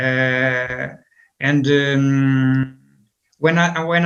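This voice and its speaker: A man with a Portuguese accent talks at a fairly high pitch in a flat, monotone delivery. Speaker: football coach. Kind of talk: interview. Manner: halting, many fillers.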